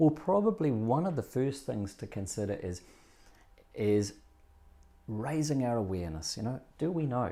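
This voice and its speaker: A man with a New Zealand accent speaks in a dark, mellow tone at medium pitch. His pitch swings are very wide, his pace is moderate, and he leaves long, frequent pauses. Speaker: breathing coach. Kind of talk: interview. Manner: nose breathing while speaking.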